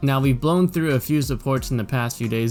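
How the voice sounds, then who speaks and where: There's music in the background. Over it, a man's speech comes at a fairly quick pace. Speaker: economist and trader. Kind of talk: stock market analysis commentary.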